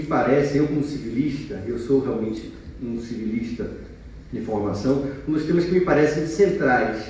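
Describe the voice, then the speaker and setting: A man with a fairly high pitch talks at a moderate pace with lively intonation, and audible room echo surrounds his voice. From Bahia, Brazil. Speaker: law professor. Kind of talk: conference talk.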